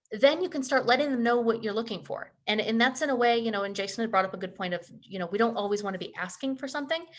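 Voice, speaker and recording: A woman with a fairly high pitch and ordinary pitch variation speaks at a very fast pace. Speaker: career development presenter. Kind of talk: webinar presentation.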